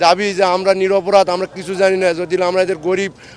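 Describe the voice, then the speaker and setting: Noticeable background noise accompanies a high-pitched man speaking in a flat, monotone way. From northern Bangladesh. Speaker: released prisoner, former border guard soldier. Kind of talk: testimony.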